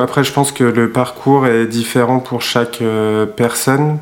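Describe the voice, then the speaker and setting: A man with a medium pitch talks very slowly. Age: 30s. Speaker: web developer, music producer. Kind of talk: testimony.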